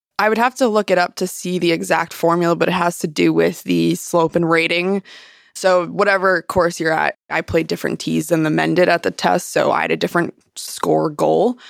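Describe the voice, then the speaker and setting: A woman with an American accent at a fairly quick pace, her loudness very even, in a very clean recording with a silent background and a dry, close sound with no echo. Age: 20s. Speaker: golf professional. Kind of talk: interview.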